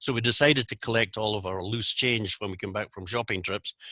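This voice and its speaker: In a Scottish accent, a man talks fairly quickly at a fairly low pitch, his tone bright and sharp, the sound dry and close with no echo over a quiet background. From Scotland, Aberdeen. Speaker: Rotary zone coordinator, speaker. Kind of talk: presentation. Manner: articulate.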